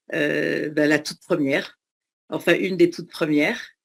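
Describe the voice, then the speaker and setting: Her voice shows vocal fry as this woman speaks at a fairly low pitch and moderate pace with fairly even intonation. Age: 60s. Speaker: former speed skier. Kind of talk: testimony. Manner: halting, many hesitations.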